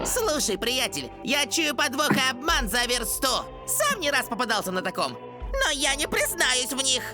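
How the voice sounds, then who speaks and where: Over loud music, a female-sounding voice performs a put-on character. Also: moderate pace. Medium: fan dub. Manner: casual, wisecracking.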